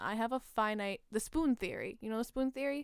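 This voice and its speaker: Her fairly high voice, with a Canadian accent, comes from a woman on a very clean recording with a silent background. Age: 20s. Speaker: podcast co-host. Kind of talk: casual chat.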